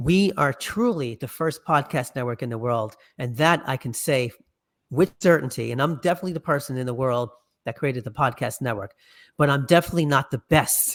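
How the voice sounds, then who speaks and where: Speaking at a fairly quick pace with a New York accent, a man uses a fairly high pitch and ordinary pitch variation in a very clean recording with a silent background. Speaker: podcast network founder and musician. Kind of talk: interview.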